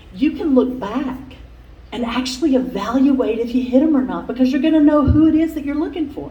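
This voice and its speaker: A high-pitched woman at a fairly quick pace with ordinary pitch variation, noticeable background noise and audible room echo. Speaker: workshop speaker. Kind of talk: conference talk. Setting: conference room with microphone. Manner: loud.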